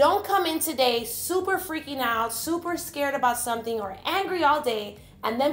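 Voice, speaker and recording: Her voice pitched high, a woman speaks with lively intonation. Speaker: vlogger and faith-based parenting speaker. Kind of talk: motivational vlog talk. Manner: animated.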